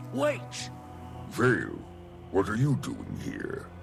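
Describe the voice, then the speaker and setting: A put-on character voice moves at a very slow pace. Clear music plays in the background. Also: man, medium pitch for a man. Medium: machinima. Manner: formal, solemn.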